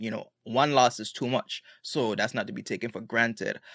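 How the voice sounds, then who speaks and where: A man speaks at a moderate pace with a Virgin Islands accent. The sound is dry and close, with no echo. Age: 20s. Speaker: music producer. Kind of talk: casual chat.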